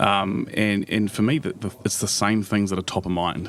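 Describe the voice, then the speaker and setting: A man speaks with a fairly low pitch and a New Zealand accent. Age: young. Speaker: business executive. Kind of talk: interview. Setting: live at a conference.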